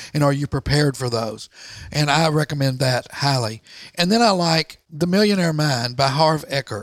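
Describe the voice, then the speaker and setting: A man with an American accent talks at a moderate pace in a plain, everyday voice, his pitch fairly high and its variation ordinary. The sound is dry and close, with no echo. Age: 60s. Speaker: entrepreneur and author. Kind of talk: interview. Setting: office garage.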